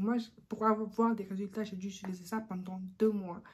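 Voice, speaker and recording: A somewhat breathy voice, dark and mellow in tone, with monotone, flat intonation. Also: woman. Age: 20s. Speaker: beauty YouTuber. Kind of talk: casual talk to camera.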